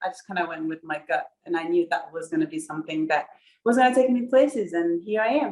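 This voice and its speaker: A woman with a Burundian accent talks at a fairly quick pace with lively intonation. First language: Kirundi. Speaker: professional runner, Olympian. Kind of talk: interview.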